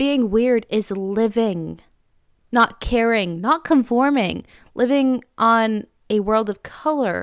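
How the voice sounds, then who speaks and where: On a very clean recording with a silent background, a soft-spoken woman talks with ordinary pitch variation in a dry, close sound with no echo. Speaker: vlogger. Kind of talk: personal monologue; casual chat. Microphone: good microphone with pop filter.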